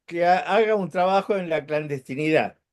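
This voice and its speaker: A man's high-pitched voice over a quiet background. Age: 70s. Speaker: former labor activist. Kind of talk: radio panel discussion. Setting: online radio. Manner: halting.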